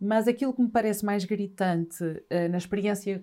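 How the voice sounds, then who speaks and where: A woman's medium-pitched voice, dark and mellow in tone, on a very clean recording with a silent background. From northern Portugal, Trás-os-Montes (Vila Real). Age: 50s. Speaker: journalist and writer. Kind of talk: casual chat.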